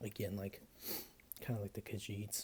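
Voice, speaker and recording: The voice is somewhat breathy, its intonation flat and monotone. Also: man. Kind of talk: casual ASMR talk to camera, whispered page-flipping. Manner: soft-spoken, whispering.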